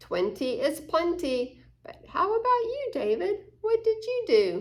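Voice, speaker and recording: A woman puts on a squeaky character voice with an extremely high pitch and a cheerful tone. She takes it at a fairly slow pace. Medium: read story. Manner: cheerful, sing-song rhyming.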